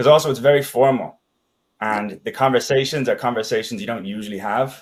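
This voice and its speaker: A very fast pace from a male speaker. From Ireland and Denmark. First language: Danish. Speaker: sales expert. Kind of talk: interview podcast.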